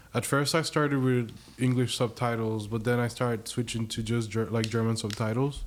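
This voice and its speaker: A man with a Spanish accent speaks at a fairly quick pace. His intonation is monotone and flat, and his loudness stays very even. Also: medium pitch for a man. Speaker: PhD student. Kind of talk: casual chat.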